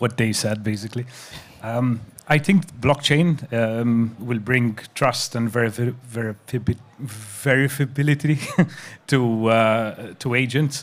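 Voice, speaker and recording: At a fairly slow pace, a man with a non-native accent speaks at a medium pitch with ordinary pitch variation. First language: not English. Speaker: crypto industry panelist. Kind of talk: panel discussion. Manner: halting.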